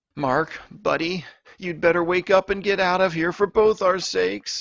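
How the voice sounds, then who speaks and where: Speaking at a moderate pace, a man keeps a high pitch and fairly even intonation. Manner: muttering.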